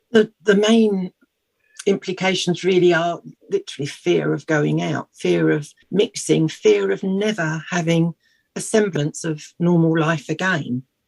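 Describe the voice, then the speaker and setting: In a British accent, a woman with a fairly low pitch speaks at a fairly slow pace with lively intonation, the sound dry and close with no echo. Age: 60s. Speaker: patient charity representative. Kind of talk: radio interview. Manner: halting.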